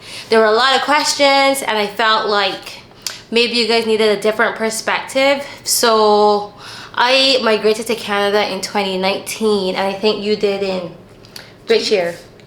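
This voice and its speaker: A woman with a fairly high pitch speaks at a moderate pace and with fairly even intonation, her voice carrying audible room echo over noticeable background noise. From Barbados. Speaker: YouTuber interviewing a guest. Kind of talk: casual interview chat.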